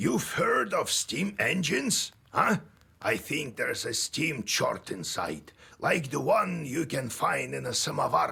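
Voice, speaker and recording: A put-on character voice at a fairly slow pace. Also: man. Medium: video game. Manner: casual, sardonic.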